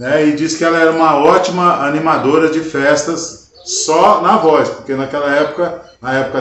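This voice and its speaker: Over noticeable background noise and audible room echo, a man speaks at a fairly slow pace with a fairly high pitch. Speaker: country guitarist and singer. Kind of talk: interview. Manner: halting.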